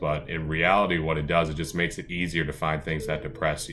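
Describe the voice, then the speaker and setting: A man talks at a fairly quick pace in a very deep, low pitch. Music plays behind him, and the room echo is audible. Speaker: lifestyle vlogger. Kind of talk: casual vlog monologue. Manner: fast; animated.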